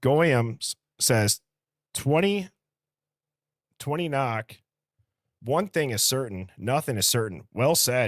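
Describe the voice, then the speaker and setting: A man with a Midwestern accent and medium pitch speaks very slowly with lively intonation and long, frequent pauses, in a very clean, dry, close recording with no echo and a silent background. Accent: Midwest. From Wisconsin, US Midwest. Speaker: live streamer, true crime commentator. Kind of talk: live stream chat, reading comments. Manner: casual, conversational.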